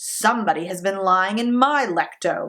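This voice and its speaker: In a put-on character voice, a female-sounding speaker talks gruffly at a middle pitch and a moderate pace. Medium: read story.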